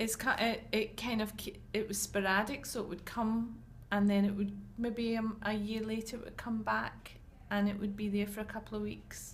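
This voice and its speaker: A woman with a Glaswegian accent speaks at a moderate pace in a fairly high, monotone, flat voice, with audible room echo around her. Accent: Glaswegian Scottish. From Scotland, Glasgow. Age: 40s. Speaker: patient. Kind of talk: interview.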